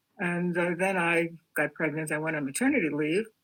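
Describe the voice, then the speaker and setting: A woman with a New York accent speaks at a fairly quick pace in a fairly low pitch. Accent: New York American. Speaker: artist. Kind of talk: interview.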